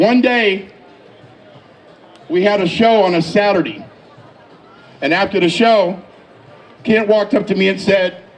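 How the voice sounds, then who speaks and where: Over noticeable background noise and audible room echo, the speech moves at a fairly slow pace with ordinary pitch variation and long, frequent pauses. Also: man, high pitch for a man. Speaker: event host presenting an award. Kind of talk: induction speech. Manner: voice cracks with emotion.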